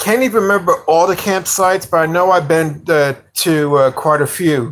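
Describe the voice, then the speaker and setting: Speaking with a New York accent, a man has a high pitch, very even loudness and a moderate pace. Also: ordinary pitch variation. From New York (Yonkers). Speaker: livestreamer, motorcycle hobbyist. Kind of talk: casual live stream chat. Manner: halting, many fillers.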